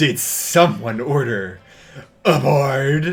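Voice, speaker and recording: A man's put-on character voice, fairly high in pitch, with lively intonation. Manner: boisterous, cheerful.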